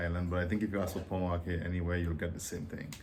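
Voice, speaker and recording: A man's very deep, low voice in a Dominican accent. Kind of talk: casual talk to camera.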